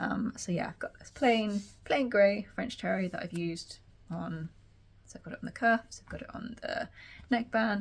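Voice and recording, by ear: A woman speaks at a moderate pace. Vocal fry runs through her voice.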